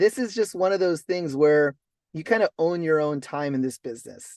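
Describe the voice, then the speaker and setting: Speaking with a West Coast American accent, a man with a high pitch uses lively intonation at a moderate pace over a quiet background. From Los Angeles. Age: 40s. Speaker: network marketing entrepreneur. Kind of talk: motivational talk on a group call. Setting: in a car on a conference call. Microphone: mobile hotspot connection.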